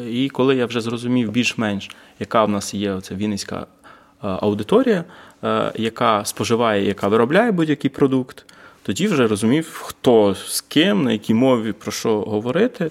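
Here a man uses a normal speaking voice at a medium pitch, with ordinary pitch variation and a moderate pace. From Vinnytsia, Ukraine. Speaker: urban activist. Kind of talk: casual chat. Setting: large hall, basement.

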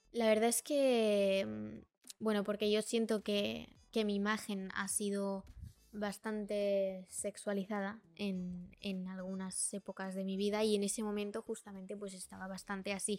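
With music in the background, a woman speaks fairly slowly at a medium pitch in a flat, monotone way. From Brazil, raised in Spain from age four. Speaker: social media influencer. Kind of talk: casual interview.

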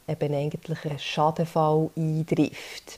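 A woman with a very deep, low pitch and a dark, mellow tone. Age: 30s. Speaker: podcast host, social insurance educator. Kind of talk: solo explainer podcast. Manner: hesitant, many fillers.

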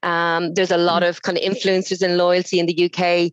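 In an Irish accent, a woman speaks at a fairly quick pace. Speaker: loyalty awards organiser. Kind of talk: casual interview. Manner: hesitant, many fillers.

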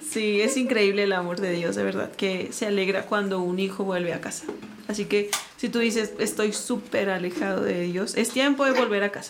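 A woman's voice, with ordinary pitch movement, comes through audible room echo and noticeable background noise. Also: medium pitch for a woman, moderate pace. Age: 30s. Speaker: lawyer. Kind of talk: casual chat.

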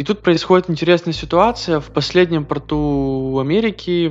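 A man with an unremarkable speaking voice talks at a moderate pace, showing ordinary pitch variation. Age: 20s. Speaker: podcast host, former ship officer. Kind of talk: solo monologue podcast. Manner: casual, conversational.

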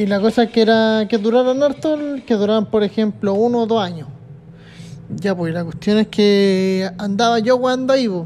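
At a moderate pace, the speaker talks in a Chilean accent. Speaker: solo podcaster. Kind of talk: casual monologue. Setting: at his workplace, sitting in a chair. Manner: animated.

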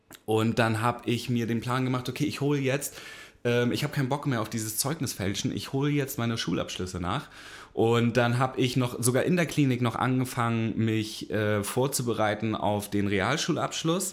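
A man's voice sits at a medium pitch, showing ordinary pitch variation as he talks at a moderate pace. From northern Germany, Hamburg. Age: 30s. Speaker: podcast host, recovering addict. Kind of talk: casual chat, personal testimony.

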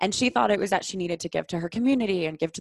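Dry and close with no echo, a woman's fairly low voice, an unremarkable speaking voice, moves with ordinary pitch variation. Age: 20s. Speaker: somatic sexologist. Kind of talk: casual chat.

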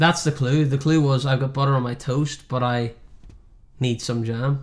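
Monotone, flat intonation marks this man's medium-pitched voice at a moderate pace. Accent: Northern Irish. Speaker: podcast host. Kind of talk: casual chat.

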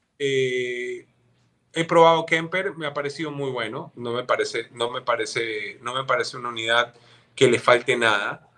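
A man with a bright, sharp tone, medium pitch, ordinary pitch variation, and moderate pace. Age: 40s. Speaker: guitarist. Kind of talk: casual chat.

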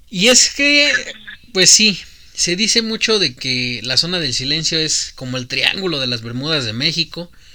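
This man's high-pitched voice has a bright, sharp tone and a Mexican accent, with very wide pitch swings. He sounds animated and keeps a fairly slow pace. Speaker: podcast host. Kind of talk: casual chat.

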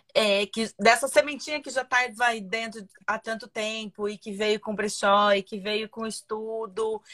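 Against a quiet background, a woman with a bright, sharp tone and fairly high pitch speaks fairly slowly with fairly even intonation, hardly any pauses and big swings in loudness. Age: 40s. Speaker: live stream host. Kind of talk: casual chat.

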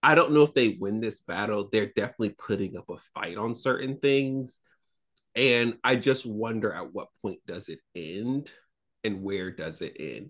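A man with an American accent talks at a fairly slow pace in an ordinary speaking voice. His pitch is medium, and the background is quiet. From US South, Florida. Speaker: podcast co-host. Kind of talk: casual chat.

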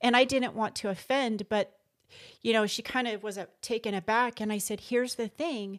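A woman speaks at a moderate pace in a plain, everyday voice, fairly high in pitch with fairly even intonation. The sound is dry and close with no echo, on a very clean recording with a silent background. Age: 50s. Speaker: entrepreneur. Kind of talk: casual chat.

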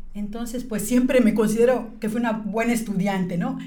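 Audible room echo and noticeable background noise surround the voice. The woman keeps a moderate pace. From Mexico, Yucatán (Mérida). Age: 50s. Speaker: business leader. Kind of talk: interview.

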